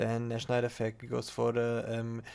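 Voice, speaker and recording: Speaking with a non-native accent, a man keeps a medium pitch. His pace is fairly slow. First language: not English. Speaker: card game content creator. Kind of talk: gameplay replay commentary. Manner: halting, many fillers.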